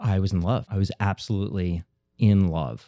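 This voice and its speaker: A man with an American accent has a dark, mellow tone. The sound is dry and close with no echo, on a very clean recording with a silent background. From New Jersey. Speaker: chef and pizzeria owner. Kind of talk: casual interview.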